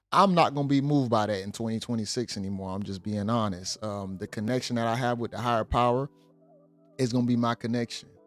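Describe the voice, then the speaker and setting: A man talks at a very fast pace with a medium pitch and ordinary pitch variation. Music plays in the background. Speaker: reaction video commentator. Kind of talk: reaction commentary.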